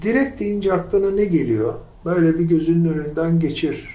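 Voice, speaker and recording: Speech at a moderate pace, with audible room echo and noticeable background noise. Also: man. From Turkey, İzmir (Karşıyaka). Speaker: academic. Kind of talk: casual chat. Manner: halting.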